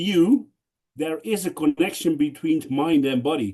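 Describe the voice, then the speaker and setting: A man with a Dutch accent, fairly high pitch, ordinary pitch variation and a moderate pace. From Netherlands. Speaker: conference speaker. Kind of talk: panel Q&A discussion.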